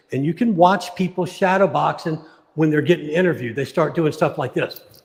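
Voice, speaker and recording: Fairly quick delivery in an unremarkable speaking voice. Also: man. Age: 60s. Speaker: martial arts coach. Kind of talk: casual chat. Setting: live stream.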